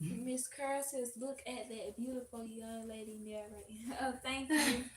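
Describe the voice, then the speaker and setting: In a Southern US accent, a woman speaks at a fairly slow pace and a high pitch, her intonation fairly even, over noticeable background noise. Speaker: host's assistant. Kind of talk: reading viewer comments aloud. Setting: livestream.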